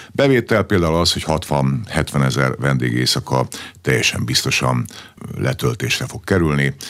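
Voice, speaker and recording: Noticeable background noise sits under a man's very deep, low voice as he speaks at a moderate pace with lively intonation. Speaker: sports federation president. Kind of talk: radio interview.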